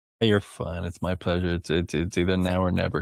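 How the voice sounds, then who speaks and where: In an Irish accent, a man with a very deep, low pitch speaks at a moderate pace in a very clean recording with a silent background. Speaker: podcast guest, listener. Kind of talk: casual chat.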